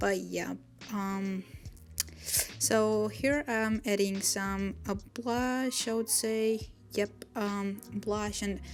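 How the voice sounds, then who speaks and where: At a very slow pace, a woman with a non-native accent mumbles, leaving long, frequent pauses. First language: not English. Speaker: watercolor artist, YouTuber. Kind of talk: voiceover narration of speedpaint. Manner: hesitant, many fillers; mumbling.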